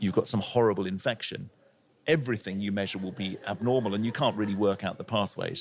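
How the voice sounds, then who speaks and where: The speaker talks very fast with a southern English accent. Intonation stays fairly even on a very clean recording with a silent background. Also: man. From England, Plymouth. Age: 60s. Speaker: intensive care doctor and professor. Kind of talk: podcast interview.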